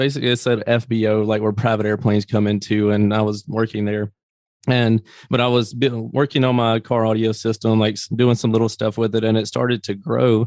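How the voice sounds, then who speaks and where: A man with a Southern US accent talks fairly quickly in a flat monotone at medium pitch, the sound dry and close with no echo over a quiet background. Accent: Southern US (self-described country accent). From US South, Greenville, Mississippi. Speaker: business owner. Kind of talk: interview.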